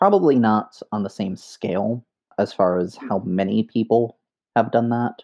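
A man with an American accent has an unremarkable speaking voice at medium pitch. He talks at a moderate pace with ordinary pitch variation. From US Northeast, Bronx, New York. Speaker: indie game designer. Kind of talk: podcast interview.

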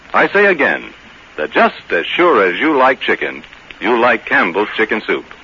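Noticeable background noise sits behind a man's voice. He has a warm tone and speaks at a moderate pace. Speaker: radio announcer. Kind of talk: sponsor commercial reading. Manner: warm, folksy, persuasive.

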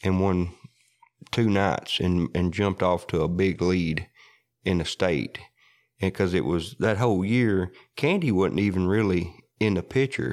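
With a West Tennessee accent, a man speaks fairly slowly in a very deep, low voice with ordinary pitch variation. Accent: Southern US (West Tennessee). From US South, Parsons, Tennessee. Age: 40s. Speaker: coon hunter. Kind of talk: casual storytelling interview. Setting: in-person interview.

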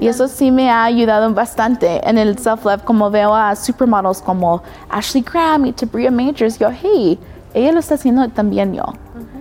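Ordinary pitch variation and a moderate pace from a woman with a fairly high pitch. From US, Denver, Colorado. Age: 20s. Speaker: professional model. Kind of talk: casual interview.

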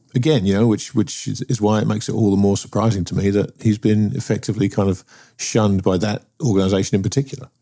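A man speaks very fast with a British accent. His fairly low voice has a dark, mellow tone and fairly even intonation. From UK. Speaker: podcast host. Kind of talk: casual chat.

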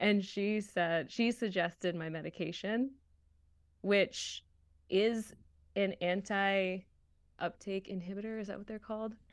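Against a quiet background, a woman with an American accent and an unremarkable speaking voice speaks at a fairly slow pace in a medium pitch, with fairly even intonation and big swings in loudness. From Massachusetts, US. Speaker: voice actor. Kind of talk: casual chat.

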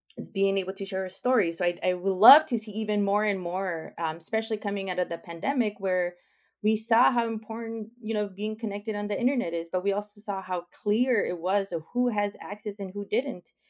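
The background is silent and the recording very clean. A woman talks at a medium pitch. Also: ordinary pitch variation, fairly quick pace, hardly any pauses. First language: not English. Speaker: tech strategy guest. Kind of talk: interview conversation.

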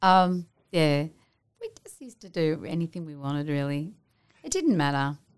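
A woman's very deep, low voice in an Australian accent at a moderate pace, with ordinary pitch variation, big swings in loudness and long, frequent pauses. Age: 50s. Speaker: television actress. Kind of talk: casual interview chat.

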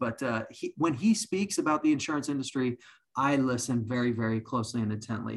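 A man speaks in an ordinary speaking voice. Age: 40s. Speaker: insurance executive and podcast host. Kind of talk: podcast interview.

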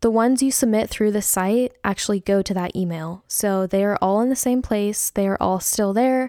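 A woman with a normal speaking voice, medium pitch and ordinary pitch variation at a moderate pace, the sound dry and close with no echo. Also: very clean recording, silent background. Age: 20s. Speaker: podcast host. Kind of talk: solo Q&A monologue. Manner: youthful-sounding.

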